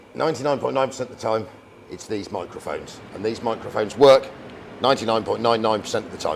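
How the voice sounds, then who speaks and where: With a British accent, a man of medium pitch talks at a very fast pace with ordinary pitch variation, against noticeable background noise. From England. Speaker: YouTube vehicle restorer. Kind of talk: casual chat. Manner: loud.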